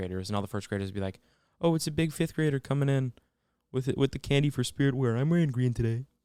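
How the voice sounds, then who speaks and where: Male speech, recorded very cleanly against total background silence. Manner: fast, slurred words; monotone.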